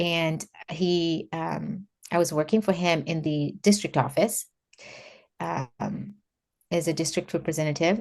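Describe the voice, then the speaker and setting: Against a quiet background, a woman with a Kenyan accent speaks slowly-ish, at a fairly slow pace, in a very deep, low voice. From Kenya, Nairobi. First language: Kikuyu. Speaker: former government official and faith organizer. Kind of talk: interview, personal testimony.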